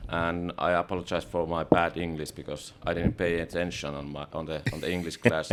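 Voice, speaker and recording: With a Finnish accent, a man talks at a fairly quick pace in a very deep, low pitch, his intonation monotone and flat. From Finland, remote rural area. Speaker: podcast host. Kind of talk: podcast interview.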